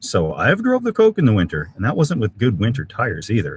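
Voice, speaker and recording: A man with a Canadian accent speaks in a somewhat breathy voice, his pitch swinging very widely. The sound is dry and close, with no echo. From Canada, Alberta (Edmonton). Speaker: camping YouTuber. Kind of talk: live stream chat reading comments. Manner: casual, halting with many fillers.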